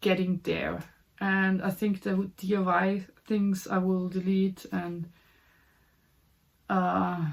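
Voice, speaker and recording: Very slowly, with long, frequent pauses, a woman speaks in a German accent. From Austria. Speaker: puzzle hobby YouTuber. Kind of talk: casual vlog talk. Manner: halting, many repetitions and fillers.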